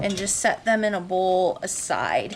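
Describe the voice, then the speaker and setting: Noticeable background noise sits behind a woman speaking very slowly. Her voice is at a medium pitch with ordinary pitch variation. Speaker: home cooking video host. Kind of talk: cooking tutorial. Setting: home kitchen. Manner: casual, chatty.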